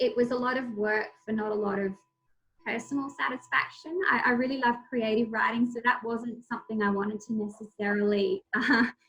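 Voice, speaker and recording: Speaking fairly quickly, a woman talks in an Australian accent. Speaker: crime journalist and debut novelist. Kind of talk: author talk, answering audience.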